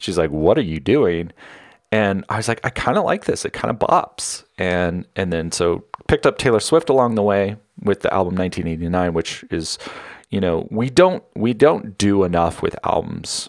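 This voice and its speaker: A man's fairly low voice in an American accent: a normal speaking voice, lively intonation, moderate pace, and a very clean recording with a silent background. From Northern California. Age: 40s. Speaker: solo podcaster. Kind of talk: casual personal monologue.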